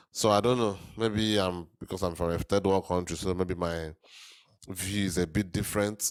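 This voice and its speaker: A man at a very deep, low pitch with ordinary variation, moderate pace, on a very clean recording with a silent background. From Nigeria. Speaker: reaction video host. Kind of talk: casual reaction commentary. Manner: hesitant, with fillers and repetitions.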